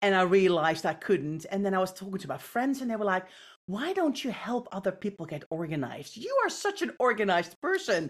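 On a very clean recording with a silent background, a woman with a Dutch accent speaks at a medium pitch and a fairly quick pace, her intonation lively. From Netherlands. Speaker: professional home organizer. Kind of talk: casual interview.

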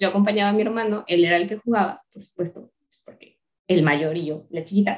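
An unremarkable speaking voice from a woman, medium in pitch with ordinary pitch variation, at a fairly quick pace, with big swings in loudness. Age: 30s. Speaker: university staff member. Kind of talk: casual chat.

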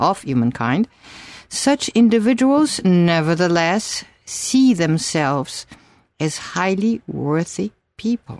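A woman with a fairly low pitch speaks at a fairly slow pace, her voice making very wide pitch swings against a quiet background. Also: dry, close sound with no echo. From Brazil. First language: Portuguese. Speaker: doctor and teacher of an analytical school. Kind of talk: interview.

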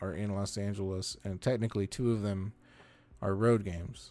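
A man speaks in a fairly low pitch. His tone is dark and mellow, with fairly even intonation. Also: very clean recording, silent background. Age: 40s. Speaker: sports podcast host. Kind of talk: solo sports analysis podcast.

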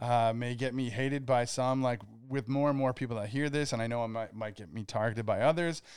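In a very clean recording with a silent background, the talking proceeds at a fairly quick pace. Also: man. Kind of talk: casual chat. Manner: animated.

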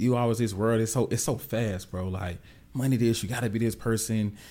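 At a very fast pace, a man with a Southern US accent talks in an animated tone at a fairly low pitch, on a very clean recording with a silent background. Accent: country Southern US. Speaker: tech professional and wealth coach. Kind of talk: casual interview chat. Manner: animated, casual.

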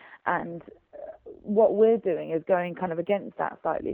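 A woman speaks fairly quickly in an English accent. The sound is dry and close, with no echo. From England. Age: 20s. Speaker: voice actor and theater company founder. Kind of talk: interview.

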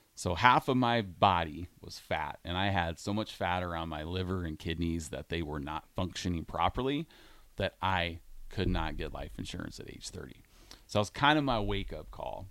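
A man's very deep, low voice with a Midwestern American accent and lively intonation at a moderate pace, in a very clean recording with a silent background. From Iowa. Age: 40s. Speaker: radio host, gym owner. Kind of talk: casual radio chat.

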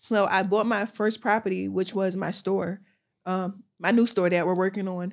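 Over a very clean recording with a silent background, a woman speaks in a flat monotone at a medium pitch and moderate pace. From West Philadelphia. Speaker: fashion entrepreneur. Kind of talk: casual interview.

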